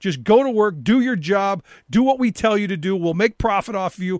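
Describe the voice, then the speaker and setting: Angry and high-pitched, a man with an American accent uses lively intonation in a very clean recording with a silent background and a dry, close sound with no echo. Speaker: labor organizer and media host. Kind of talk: rally or protest speech, fiery call to action. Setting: interview conversation. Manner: angry, forceful, urgent; emphatic, declamatory.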